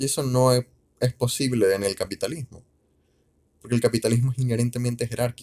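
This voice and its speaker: A man speaks very fast at a medium pitch, his dark, mellow tone and fairly even intonation broken by long, frequent pauses. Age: 20s. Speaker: solo podcaster. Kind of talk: casual monologue. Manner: halting, with fillers and repetitions.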